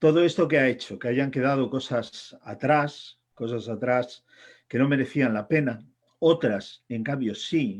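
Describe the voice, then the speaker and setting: At a fairly slow pace, a man speaks in an unremarkable speaking voice of medium pitch with ordinary pitch variation against a quiet background. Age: 60s. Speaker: author and editor. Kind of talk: talk. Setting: congress panel.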